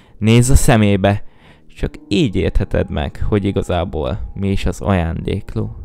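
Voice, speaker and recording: On a very clean recording with a silent background, a man speaks at a fairly slow pace, his fairly low, dark and mellow voice showing ordinary pitch variation. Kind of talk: scripted creepypasta reading aloud, ghost story telling. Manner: slow, hushed, eerie and suspenseful.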